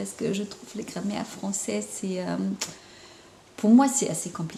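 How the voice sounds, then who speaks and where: With a slight German accent, a woman talks at a moderate pace and medium pitch over noticeable background noise. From Germany. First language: German (speaking French). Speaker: intuitive painter and spiritual counselor. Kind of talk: casual vlog monologue. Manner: halting, many hesitations.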